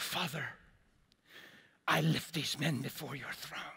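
Using a raspy, put-on character voice, a man talks at a fairly slow pace with a fairly high pitch. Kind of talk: solemn, formal prayer. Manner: earnest, pleading.

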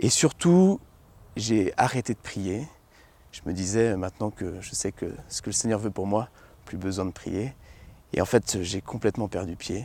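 With a dark, mellow tone and fairly low pitch, a man talks at a fairly slow pace with long, frequent pauses, ordinary pitch variation and big swings in loudness, all in a dry sound with no echo. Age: 20s. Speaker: priest giving testimony. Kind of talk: testimony. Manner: halting, many repetitions and fillers. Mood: reflective, earnest. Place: garden. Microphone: lapel.

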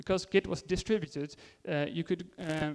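A man with a Dutch accent, fairly high in pitch and fairly quick in pace. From Netherlands. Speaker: IT consultant and conference speaker. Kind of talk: conference talk. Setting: stage with audience. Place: hall.

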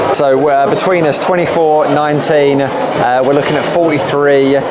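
The man keeps a moderate pace while loud noise fills the background. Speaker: travel vlogger. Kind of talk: casual vlog chat. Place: bar. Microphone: phone near.

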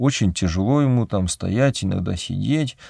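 In a dry recording with no echo and a quiet background, a man speaks at a moderate pace in a calm tone with lively intonation. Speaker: Orthodox priest. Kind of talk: religious talk answering a viewer question, personal anecdote. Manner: calm, conversational, explanatory. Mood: calm, reflective. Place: studio.

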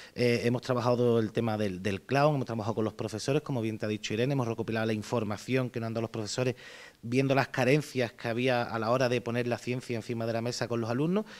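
A man speaks with an Andalusian accent. His pace is very fast. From Andalusia, Jerez; Andalusia, Spain. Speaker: clown performer. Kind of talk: interview. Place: gym. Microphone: handheld.

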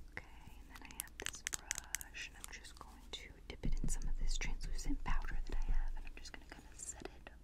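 The pace is moderate. A woman whispers her words. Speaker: ASMR creator. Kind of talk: ASMR personal attention roleplay. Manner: whispered. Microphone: studio mic.

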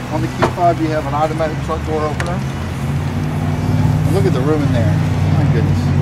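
A man speaking at a moderate pace over loud background noise. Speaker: car salesman. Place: street. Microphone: camera far.

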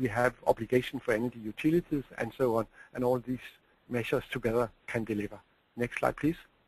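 At a very fast pace, a man with a medium pitch talks in fairly even intonation, the sound dry with no echo. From Denmark. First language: Danish. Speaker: energy policy expert; presenter. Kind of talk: webinar presentation. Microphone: video call.

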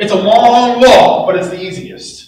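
The voice belongs to a man. Echo from the room can be heard. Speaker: preacher. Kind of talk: sermon. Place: church.

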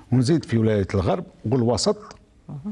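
Pitched at a medium level, a man's voice swings very widely in pitch. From Algeria. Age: 70s. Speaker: trade union leader. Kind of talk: formal TV interview. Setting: studio. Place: studio. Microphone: lapel.

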